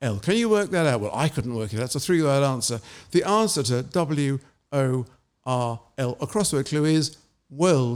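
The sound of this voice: An unforced reading voice, intonation lively, the background quiet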